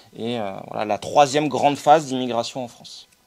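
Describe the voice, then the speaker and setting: A man talks at a fairly quick pace, his medium-pitched voice keeping a fairly even intonation. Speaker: sociologist giving a talk. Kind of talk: lecture. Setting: conference with audience. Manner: fast; halting, many fillers.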